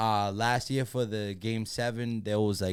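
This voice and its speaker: A man speaks with a Boston accent at a fairly slow pace. The recording is very clean, with a silent background. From Massachusetts, Lawrence. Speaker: sports superfan and social media personality. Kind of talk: casual podcast chat.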